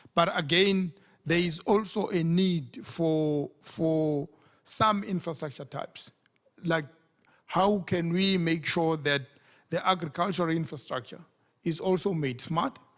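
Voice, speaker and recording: Speaking at a fairly slow pace, a man with a high pitch and a non-native accent is captured in a very clean recording with a silent background. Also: ordinary pitch variation. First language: not English. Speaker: panelist at development finance forum. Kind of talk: panel discussion. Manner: repetitive, halting.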